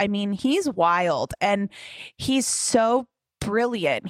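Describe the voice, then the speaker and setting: A woman's medium-pitched voice with ordinary pitch variation, an ordinary speaking voice, in a dry, close sound with no echo. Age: 30s. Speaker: fitness instructor and podcast host. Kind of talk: casual chat.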